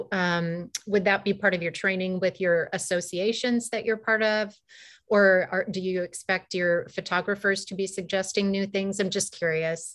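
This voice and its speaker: Against a quiet background, a woman speaks at medium pitch and a moderate pace in a monotone, flat way. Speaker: webinar co-host. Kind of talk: moderated panel discussion. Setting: video call from home. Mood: warm, friendly. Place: home room. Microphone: video call.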